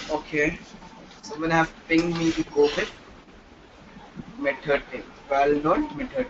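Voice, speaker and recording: A man talks at a fairly slow pace with lively intonation, leaving long, frequent pauses. His loudness swings widely, and background noise is noticeable. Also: fairly high pitch for a man. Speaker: programming teacher. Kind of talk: live online class.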